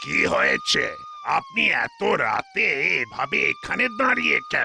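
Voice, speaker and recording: A man performs a cartoonish character voice at a very slow pace. Clear background noise is present. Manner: authoritative.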